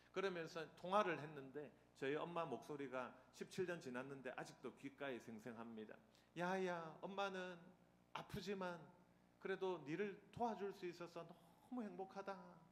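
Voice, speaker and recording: Speaking with a Busan accent, a man uses a high pitch and lively intonation. His pace is moderate, and room echo can be heard. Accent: Gyeongsang (Busan) dialect. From Busan, South Korea. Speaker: seminary professor, guest preacher. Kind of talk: sermon. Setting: church with congregation. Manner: humorous, interactive with audience.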